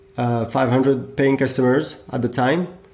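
Someone speaks with a French accent over noticeable background noise. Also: man. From France. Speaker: software company founder. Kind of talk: interview. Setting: call.

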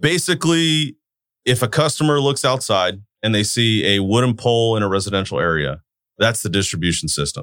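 Speaking with a Californian accent, a man of medium pitch moves at a fairly quick pace with very wide pitch swings and very even loudness, in a very clean recording with a silent background. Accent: Californian American. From Turlock, California (US). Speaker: utility control center manager. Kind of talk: interview.

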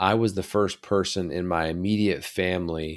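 The recording is very clean, with a silent background. A man with an American accent speaks fairly slowly in a very deep, low voice with fairly even intonation. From rural West Virginia. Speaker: podcast host, leadership coach and army officer. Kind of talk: monologue podcast.

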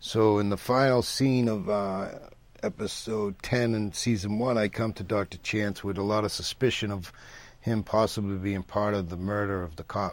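Using a plain, everyday voice, a man talks at a moderate pace with a fairly low pitch and fairly even intonation. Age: 50s. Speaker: actor. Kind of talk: interview.

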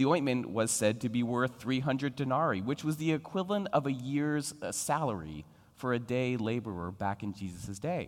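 A normal speaking voice from a man with an American accent, medium in pitch, at a moderate pace with hardly any pauses, on a very clean recording with a silent background. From Philadelphia. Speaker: guest preacher. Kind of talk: sermon.

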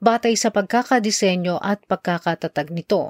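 In an unremarkable speaking voice, a woman talks at a medium pitch and moderate pace with lively intonation. The recording is very clean with a silent background and a dry, close sound with no echo. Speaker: news anchor. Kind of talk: news reading. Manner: formal; steady, measured pace.

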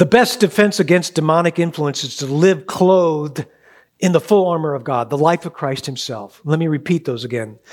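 Lively in intonation and fairly quick in pace, a man is heard on a very clean recording with a silent background. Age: 60s. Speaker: church elder. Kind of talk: sermon.

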